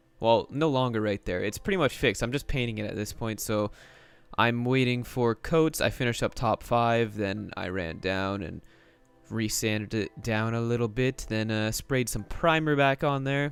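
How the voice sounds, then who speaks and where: Music plays behind the speaker, a man. His pitch is medium and its variation ordinary. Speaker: gaming YouTuber. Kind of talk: casual gameplay commentary. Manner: casual, filler-heavy.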